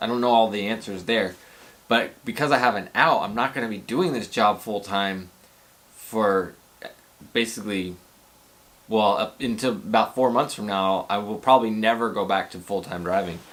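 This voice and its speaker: A man talks in a normal speaking voice at a medium pitch and a moderate pace. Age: 40s. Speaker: rideshare driver and video blogger. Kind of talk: casual vlog talk. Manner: casual, rambling with repetitions.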